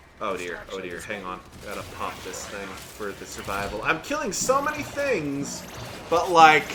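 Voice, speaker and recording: Music plays behind a man speaking at a moderate pace, his loudness swinging widely. The room echo is audible. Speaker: gaming YouTuber and voice actor. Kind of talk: gameplay commentary. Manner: repeats and stumbles on words; casual, conversational.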